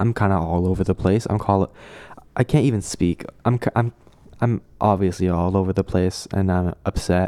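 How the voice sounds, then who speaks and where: In a very clean recording with a silent background and a dry, close sound with no echo, a man with a very deep, low pitch speaks at a moderate pace, with fairly even intonation and very even loudness. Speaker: podcast host. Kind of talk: personal vent, solo monologue. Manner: halting, hesitant, with many restarts.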